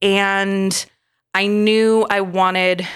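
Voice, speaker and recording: A woman's medium-pitched voice with an American accent, on a very clean recording with a silent background. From Michigan, US. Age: 30s. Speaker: chiropractic physician. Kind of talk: interview about personal trauma.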